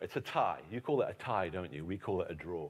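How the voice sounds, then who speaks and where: A man with vocal fry and an animated tone comes through on a very clean recording with a silent background. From England. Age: 50s. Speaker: historian and author. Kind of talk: keynote lecture. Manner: animated, humorous storytelling.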